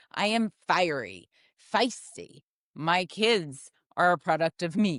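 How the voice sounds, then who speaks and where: A woman's fairly low voice with vocal fry and lively intonation, very slow pace and very even loudness, dry, close sound with no echo against a quiet background. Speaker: podcast host. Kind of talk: casual chat.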